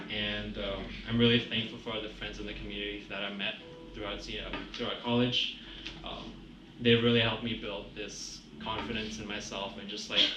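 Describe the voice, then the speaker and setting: Over noticeable background noise and audible room echo, a man speaks at a moderate pace with a fairly low pitch, monotone, flat intonation and big swings in loudness. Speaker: college student. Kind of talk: testimony.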